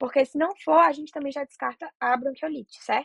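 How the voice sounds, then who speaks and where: Speaking at a very fast pace with ordinary pitch variation, a woman with a Brazilian accent comes through in a dry, close sound with no echo. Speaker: medical student tutor. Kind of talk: lecture.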